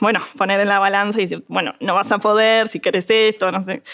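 A woman at a medium pitch and a moderate pace. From Uruguay, Montevideo. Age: 20s. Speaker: agronomy student. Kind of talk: interview conversation. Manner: halting.

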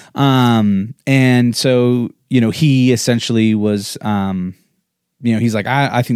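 A man with an American accent has an unremarkable speaking voice and fairly even intonation. The recording is very clean, with a silent background. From Colorado, US. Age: 40s. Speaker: podcast co-host, entrepreneur. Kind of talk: casual chat, life story interview. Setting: livestreamed video podcast.

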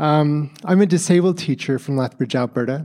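Here is a normal speaking voice with ordinary pitch variation, at a moderate pace. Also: man. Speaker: teacher. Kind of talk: conference presentation. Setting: stage with audience.

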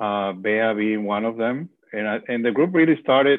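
A man with a Spanish accent at a medium pitch. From Venezuela. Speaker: bereavement ministry leader. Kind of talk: interview about grief.

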